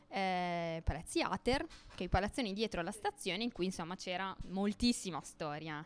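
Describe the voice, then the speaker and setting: This woman has an ordinary speaking voice at a medium pitch. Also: ordinary pitch variation, moderate pace, hardly any pauses. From not from Gorizia. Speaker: community radio host, social cooperative worker. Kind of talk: casual presentation at open-mic event. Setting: bar with audience.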